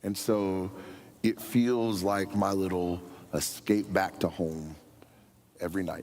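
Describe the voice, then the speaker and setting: A man with a very deep, low pitch and an American accent, very slow, with long, frequent pauses. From US, near a National Forest. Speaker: senior pastor candidate. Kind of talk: Q&A forum answer. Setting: church forum with live audience. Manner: loud; animated.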